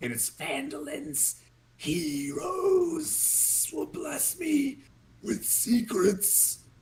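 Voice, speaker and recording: Cackling and mumbling in a put-on character voice, a man speaks very slowly at a high pitch. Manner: cackling, menacing, mumbling.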